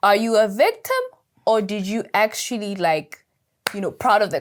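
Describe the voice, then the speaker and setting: With an animated tone, a woman at a fairly high pitch talks at a moderate pace. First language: not English. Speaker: podcast co-host. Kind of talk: casual chat.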